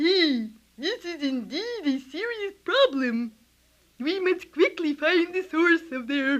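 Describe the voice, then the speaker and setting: This put-on character voice is squeaky and extremely high-pitched. It moves at a fairly slow pace. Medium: audio drama. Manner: formal, elaborate wording.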